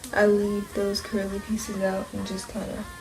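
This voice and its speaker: Someone whispers in a soft-spoken way. Music plays in the background. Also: woman. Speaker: hair tutorial creator. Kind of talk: casual tutorial talk to camera. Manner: soft, near whisper.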